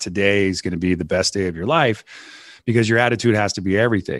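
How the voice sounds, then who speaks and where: An unremarkable speaking voice belongs to a man, fairly low in pitch with fairly even intonation. He talks at a moderate pace against a quiet background. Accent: American. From US West Coast. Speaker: CEO and podcast host. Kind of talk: casual interview chat. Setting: remote recording call.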